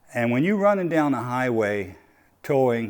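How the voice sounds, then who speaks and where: A man's medium-pitched voice moves through very wide pitch swings. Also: very clean recording, silent background. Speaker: truck owner vlogger. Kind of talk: casual tutorial vlog. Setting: in a truck. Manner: slow; halting, many fillers and repeats.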